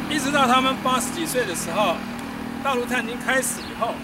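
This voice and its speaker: Over loud background noise, the speech moves at a fairly quick pace with a dry sound and no echo. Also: man. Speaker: military village tour guide. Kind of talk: guided walking tour talk. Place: street. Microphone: camera far.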